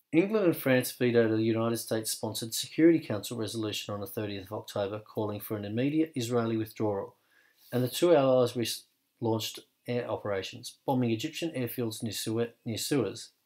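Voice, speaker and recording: A man's ordinary speaking voice, medium in pitch with ordinary pitch variation, at a fairly quick pace. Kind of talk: history documentary narration, scripted and read aloud. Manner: formal, measured, even-toned; steady, authoritative, fact-by-fact delivery.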